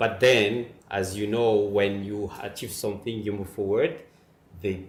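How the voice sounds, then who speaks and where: A man with a fairly low pitch speaks at a fairly slow pace in monotone, flat intonation, with audible room echo. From Madagascar. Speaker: migrant father, mining officer. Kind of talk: interview. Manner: halting, with fillers.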